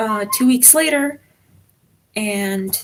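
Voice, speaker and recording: Ordinary pitch variation in a somewhat breathy voice. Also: woman. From Czech Republic. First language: Czech. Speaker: exchange student livestreamer. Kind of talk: casual livestream chat. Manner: hesitant, many fillers.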